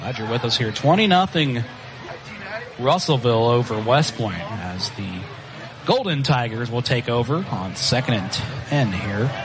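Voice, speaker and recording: A man talks at a moderate pace with a Southern US accent while noticeable background noise continues. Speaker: high school football play-by-play announcer. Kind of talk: live sports commentary. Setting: broadcast booth at stadium.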